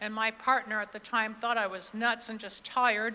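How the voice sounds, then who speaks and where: Bright, sharp, fairly high-pitched woman's voice, monotone and flat, at a fairly quick pace. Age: 70s. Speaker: keynote speaker, spiritual coach and radio host. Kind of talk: keynote speech. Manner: conversational with frequent fillers.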